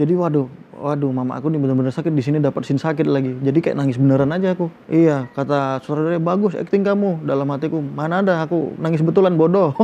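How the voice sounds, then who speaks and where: A man speaks at a very fast pace with hardly any pauses. His pitch is fairly high. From Medan, North Sumatra. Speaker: film actor. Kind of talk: interview. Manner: animated storytelling.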